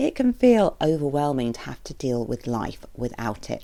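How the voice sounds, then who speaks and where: The woman speaks in a British accent with a dark, mellow tone. Her intonation stays fairly even. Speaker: therapist podcast host. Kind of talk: podcast monologue.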